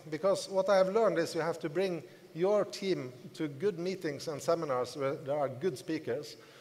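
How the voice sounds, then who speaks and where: This man has a non-native accent and a high pitch. He speaks at a moderate pace with ordinary pitch variation. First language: not English. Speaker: network marketing leader. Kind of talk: motivational seminar talk. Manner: halting.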